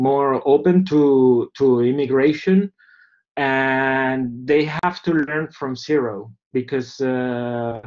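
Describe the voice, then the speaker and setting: The speaker talks at a very slow pace with a Spanish accent. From Venezuela. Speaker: documentary filmmaker. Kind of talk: seminar talk. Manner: halting, many fillers.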